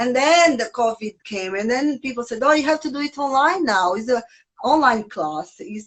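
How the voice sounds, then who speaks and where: A woman speaks with a strong non-native accent and a high pitch. Her pitch swings very widely. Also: moderate pace. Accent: strong foreign. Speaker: yoga teacher. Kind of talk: casual chat.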